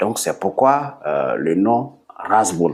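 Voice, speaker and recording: Here a man speaks with a Burkinabe accent. His pace is very slow. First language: Bissa (speaking French). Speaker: sport founder. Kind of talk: TV interview. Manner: hesitant, many fillers.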